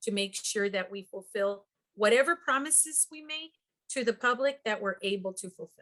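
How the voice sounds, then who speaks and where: A woman's fairly high voice has a bright, sharp tone. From US-Mexico border, El Paso, Texas. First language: Spanish. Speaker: congressional candidate. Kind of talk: interview. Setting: video call.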